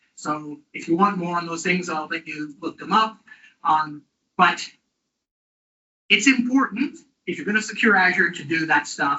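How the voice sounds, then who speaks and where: A man talks at a moderate pace in a high pitch. His intonation is lively, and his loudness swings widely. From northern England. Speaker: tech speaker. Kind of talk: technical talk. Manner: hesitant, many fillers.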